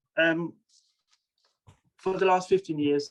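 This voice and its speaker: This is a man speaking. He has a Danish accent. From Denmark. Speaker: bead researcher and author. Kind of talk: presentation. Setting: video webinar.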